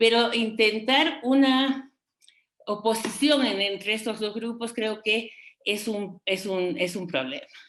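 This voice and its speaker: A woman with a fairly high pitch and ordinary pitch variation talks at a very slow pace. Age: 60s. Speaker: feminist expert panelist. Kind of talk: panel debate talk. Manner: hesitant, many fillers.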